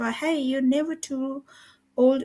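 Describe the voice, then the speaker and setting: Against a silent background in a very clean recording, a woman talks at a fairly slow pace in a high pitch. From Nepal. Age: 50s. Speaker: online business group host. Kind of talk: live stream group talk. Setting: live video stream.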